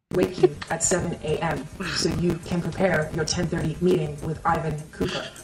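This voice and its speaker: A put-on robotic character voice at a middle pitch, speaking at a moderate pace over clear background noise. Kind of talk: flat, mechanical assistant.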